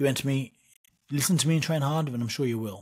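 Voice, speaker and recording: A man talks at a very fast pace with an East Anglian accent, his pitch medium and its variation ordinary. The recording is very clean, with a silent background. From east of England. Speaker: boxer and wrestler. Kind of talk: interview. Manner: repetitive, halting.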